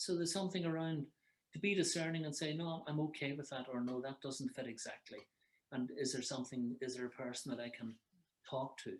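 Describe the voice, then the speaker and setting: Someone with an Irish accent speaks at a fairly quick pace with ordinary pitch variation. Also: man, fairly high pitch for a man. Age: 60s. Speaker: psychotherapist. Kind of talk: advice conversation. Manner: halting.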